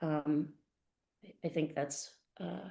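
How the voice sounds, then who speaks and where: A woman with an American accent, very deep, low pitch and a dark, mellow tone. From US East Coast. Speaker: life coach. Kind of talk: interview. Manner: fast.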